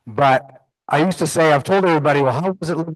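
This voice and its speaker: The speaker talks at a fairly quick pace with ordinary pitch variation, in an American accent. The background is quiet. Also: man. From Las Vegas, US West. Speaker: head of growth at a health tech company. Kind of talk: conference presentation. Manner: loud.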